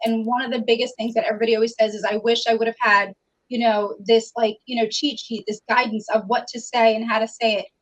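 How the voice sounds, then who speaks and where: A woman's fairly high, fairly quick voice in a New York accent. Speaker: customer service trainer. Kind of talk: interview. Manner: fast.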